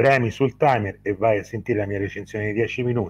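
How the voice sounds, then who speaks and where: A man with a Tuscan accent speaks at a fairly quick pace in a somewhat breathy voice, medium in pitch, with ordinary pitch variation. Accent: noticeable Livorno Tuscan. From Tuscany, Livorno; Tuscany. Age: 40s. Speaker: film critic YouTuber. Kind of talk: casual chat. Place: home room. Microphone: video call.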